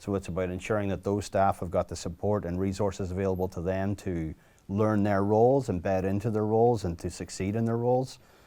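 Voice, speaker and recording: A man's dark, mellow tone at a fairly low pitch, with fairly even intonation and a fairly quick pace. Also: very clean recording, silent background. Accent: American. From Northern Ireland, County Derry. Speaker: youth club executive director. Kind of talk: interview.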